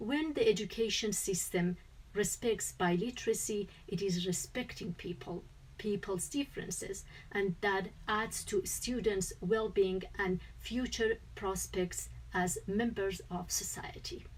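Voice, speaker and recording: Speaking with a Kurdish accent, a woman keeps a fairly slow pace. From Kurdistan. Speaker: researcher presenting at a conference. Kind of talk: conference presentation. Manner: formal.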